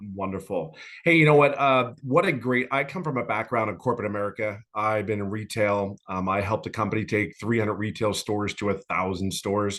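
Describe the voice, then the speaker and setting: A man with a plain, everyday voice, fairly low in pitch with ordinary pitch variation, at a fairly quick pace with hardly any pauses against a quiet background. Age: 50s. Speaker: former corporate executive, course customer. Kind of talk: testimony.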